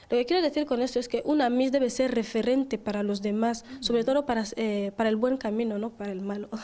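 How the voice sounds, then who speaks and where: Fairly high in pitch with ordinary pitch variation, a woman talks at a very fast pace with hardly any pauses. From Equatorial Guinea, Bata; Equatorial Guinea. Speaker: beauty pageant queen; guest. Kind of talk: interview. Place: studio. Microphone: handheld.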